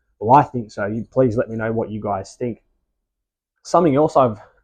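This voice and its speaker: Fairly even intonation and a dark, mellow tone at a fairly quick pace, with an Australian accent. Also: man. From Australia, Sydney. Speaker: model railway hobbyist. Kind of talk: casual video tutorial. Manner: casual, with hesitations.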